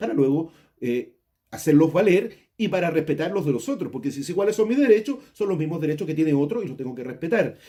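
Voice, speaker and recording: Someone with a dark, mellow tone talks at a fairly quick pace. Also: man. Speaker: school teacher. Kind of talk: lecture. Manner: fast; halting.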